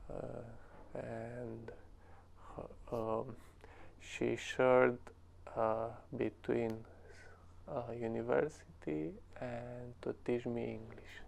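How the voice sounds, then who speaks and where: A man with a Romanian accent, at a very slow pace, with long, frequent pauses. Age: 20s. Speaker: English learner, cleaning business owner. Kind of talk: interview. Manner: halting.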